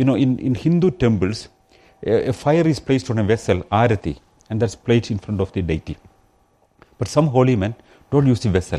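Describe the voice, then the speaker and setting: A man with a Keralan accent, medium in pitch, with a dark, mellow tone, lively intonation, a fairly quick pace and long, frequent pauses. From India, Kerala. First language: Malayalam. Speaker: rationalist activist and guest speaker. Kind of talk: public talk. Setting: pub talk with live audience.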